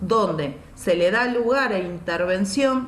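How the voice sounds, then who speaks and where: A woman is speaking. The room echo is audible. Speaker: teacher. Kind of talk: online lecture.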